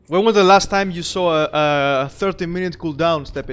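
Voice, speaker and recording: Music plays in the background as a man with a high voice speaks at a moderate pace, his pitch varying in an ordinary way. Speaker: game streamer. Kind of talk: live gameplay commentary. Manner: halting, with fillers.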